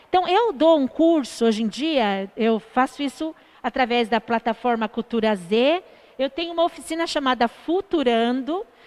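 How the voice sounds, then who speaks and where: A woman's fairly slow speech with very wide pitch swings, in a dry, close sound with no echo. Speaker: artist, teacher and social entrepreneur. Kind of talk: live stream interview. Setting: online live stream.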